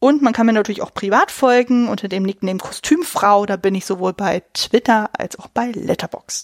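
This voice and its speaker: A woman's ordinary speaking voice, fairly high in pitch with ordinary pitch variation, comes through dry and close with no echo. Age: 30s. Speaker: film podcast host. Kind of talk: casual chat.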